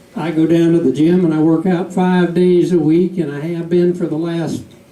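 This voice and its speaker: Amid noticeable background noise and audible room echo, a man with a Southern US accent speaks at a high pitch. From US South. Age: 70s. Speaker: comedian. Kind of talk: stand-up. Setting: stage with audience.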